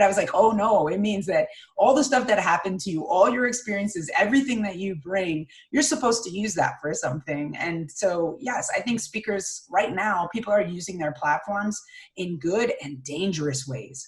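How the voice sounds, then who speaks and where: Over noticeable background noise, a woman of medium pitch talks at a moderate pace in an energetic tone with very wide pitch swings. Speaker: public speaking coach. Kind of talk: interview conversation.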